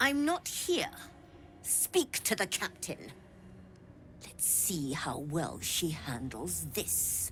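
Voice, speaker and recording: Delivered in a put-on character voice at a very slow pace, the speech has long, frequent pauses over clear background noise. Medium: video game.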